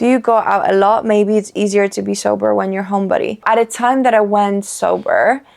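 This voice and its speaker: Speaking with a Polish accent, a woman with a medium pitch talks at a fairly quick pace in an animated tone. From Poland. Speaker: lifestyle vlogger. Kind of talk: casual chat.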